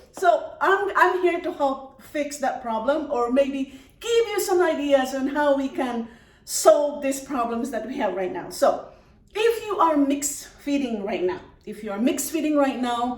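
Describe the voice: A woman speaks at a fairly slow pace with a high pitch and lively intonation. Audible room echo surrounds her voice.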